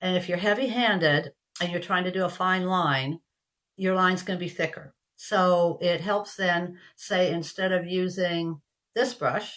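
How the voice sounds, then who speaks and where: At a fairly slow pace, a woman with a medium pitch and fairly even intonation has an unremarkable speaking voice. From Canada. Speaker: craft kit seller. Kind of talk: product demonstration. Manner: casual, chatty.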